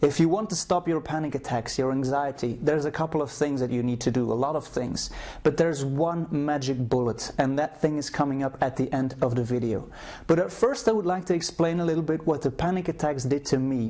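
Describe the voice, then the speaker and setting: A man with a Flemish Belgian accent speaks at a fairly quick pace, his fairly high voice dark and mellow in tone, with ordinary pitch variation. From Belgium (Flanders, Brussels). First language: Flemish (Dutch). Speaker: anxiety coach. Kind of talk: personal testimony to camera. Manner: halting with repetitions.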